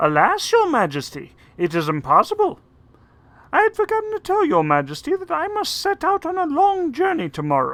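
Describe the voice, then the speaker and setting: This is a put-on character voice at an extremely high pitch. The pace is moderate. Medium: read story. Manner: sly, scornful.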